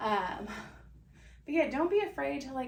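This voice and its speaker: A woman with a bubbly tone makes very wide pitch swings, heard with audible room echo and noticeable background noise. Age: 30s. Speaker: podcast host, real estate agent. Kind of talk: casual monologue podcast. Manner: loud, bubbly; rambling, conversational with fillers.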